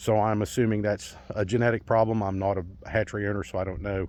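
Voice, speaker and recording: Fairly low in pitch, a man talks at a very fast pace with fairly even intonation. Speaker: small farmer. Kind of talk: casual vlog talk.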